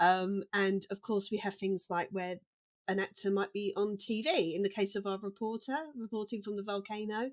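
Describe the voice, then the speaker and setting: Here a woman speaks with a British accent at a moderate pace. Her pitch is medium and her intonation fairly even. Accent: British accent, real. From UK. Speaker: dialogue editor. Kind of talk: casual chat. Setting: remote call, different countries.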